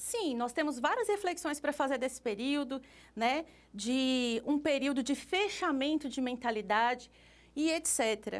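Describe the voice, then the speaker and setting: A woman with a high pitch and lively intonation speaks at a fairly slow pace. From Brazil. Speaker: art teacher. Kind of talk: lecture. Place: classroom.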